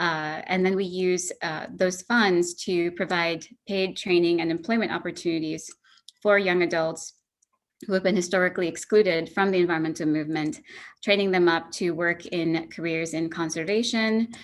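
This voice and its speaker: In a quiet background, a woman with a fairly low pitch talks at a moderate pace with fairly even intonation. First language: not English. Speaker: nonprofit founder giving a talk. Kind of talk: presentation lecture. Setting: online presentation with screen sharing.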